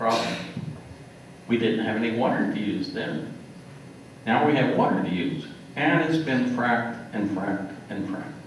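A man with an American accent speaks at a moderate pace, with medium pitch and ordinary pitch variation, pausing long and often. Room echo is audible, and there is light background noise. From US South Central (Kansas, Oklahoma, Texas). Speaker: retired geologist. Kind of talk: lecture. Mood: relaxed, wry. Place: hall. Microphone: podium.

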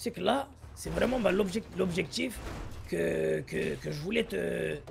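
Putting on a character voice, a man speaks at a high pitch and a fairly slow pace, with vocal fry and ordinary pitch variation.

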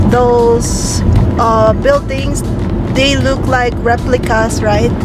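A woman speaks very slowly in a dry sound with no echo. Clear music plays in the background. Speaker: travel vlogger. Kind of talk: casual vlog chat. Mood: cheerful, relaxed. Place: car. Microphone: phone near.

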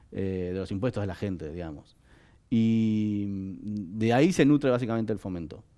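A man speaks at a fairly low pitch in a dark, mellow tone, at a moderate pace with ordinary pitch variation. His loudness swings widely against a quiet background. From Argentina. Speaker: film director; interview guest. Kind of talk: interview. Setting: studio. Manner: halting, many fillers and repetitions. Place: studio. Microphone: headset.

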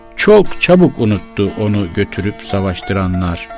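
Fairly low male speech set against background music. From Turkey, Burdur. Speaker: writer. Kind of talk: poetry reading.

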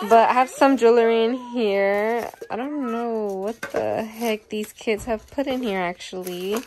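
Noticeable background noise behind a woman's fairly slow speech. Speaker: vlogger. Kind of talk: casual vlog chat. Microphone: phone near.

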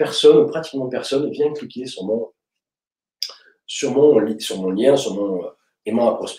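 A man's slightly mellow tone at a fairly quick pace, with audible room echo.

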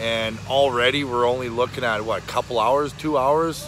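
Over noticeable background noise, a man with a medium pitch speaks with fairly even intonation in a dry sound with no echo. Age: 40s. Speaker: arm wrestler and vlogger. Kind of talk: vlog narration; casual interview chat. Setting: outdoors in a park.

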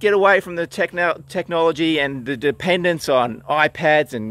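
The sound is dry, with no echo. A man speaks at a moderate pace with ordinary pitch variation. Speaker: author vlogger. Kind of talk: casual vlog chat. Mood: relaxed, upbeat. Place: open country. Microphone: phone near.

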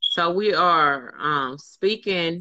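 Against a quiet background, a woman speaks in a fairly low voice. Her tone is bright and sharp. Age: 40s. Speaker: fitness group leader; motivational vlogger. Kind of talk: casual chat. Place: home room. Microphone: phone near.

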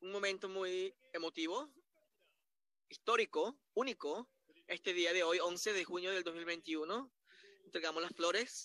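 Recorded dry and close with no echo, a man's raised, projected voice has a bright, sharp tone and a high pitch with ordinary variation. He speaks at a fairly slow pace with long, frequent pauses. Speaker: Spanish interpreter narrating a corporate awards ceremony. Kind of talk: live simultaneous interpretation. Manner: repetitive, halting phrasing.

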